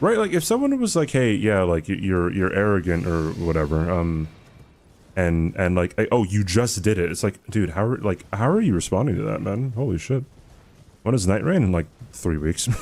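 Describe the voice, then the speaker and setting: With lively intonation, a man talks at a moderate pace in a fairly low pitch. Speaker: gaming streamer. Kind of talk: live stream chat while gaming. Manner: casual, filler-heavy.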